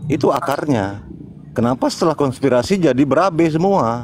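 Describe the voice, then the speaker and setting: The man speaks at a fairly quick pace, his pitch swinging very widely. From North Sumatra, Karo Batak. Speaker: debate participant. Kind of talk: religious debate.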